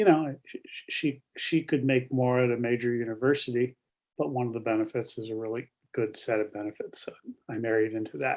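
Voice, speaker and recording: Speaking at a fairly quick pace, a man's medium-pitched voice shows ordinary pitch variation and big swings in loudness. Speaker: real estate broker sharing illness story. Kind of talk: interview. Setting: video call. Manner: halting, many fillers and repeats.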